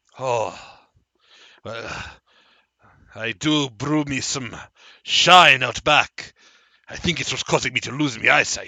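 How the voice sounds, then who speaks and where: A man speaks in a put-on character voice at a medium pitch and a fairly slow pace. His delivery is broken by long, frequent pauses. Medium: actual play. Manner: chatty, joking.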